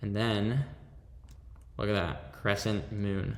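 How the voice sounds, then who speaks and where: A man's fairly low voice carries vocal fry at a very slow pace. Audible room echo is heard. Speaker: fashion design tutorial creator. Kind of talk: screen-recorded software tutorial.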